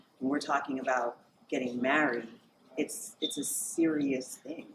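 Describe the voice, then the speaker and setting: Against noticeable background noise, a woman with a very deep, low pitch talks at a moderate pace with fairly even intonation. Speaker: podcast co-host. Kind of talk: casual panel discussion. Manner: soft-spoken.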